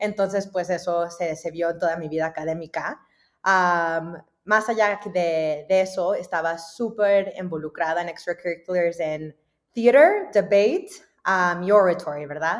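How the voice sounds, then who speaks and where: A woman with an ordinary speaking voice talks at a fairly slow pace in a fairly low pitch. The recording is very clean, with a silent background. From US South, Dallas, Texas. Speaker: venture capital investor. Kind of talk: interview.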